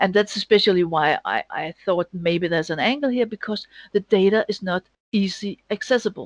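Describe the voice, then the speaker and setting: A woman with a Danish accent talks at a fairly quick pace and a medium pitch. The sound is dry and close, with no echo. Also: ordinary pitch variation. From Denmark. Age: 50s. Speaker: data analyst and sports bettor. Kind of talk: interview. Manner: halting.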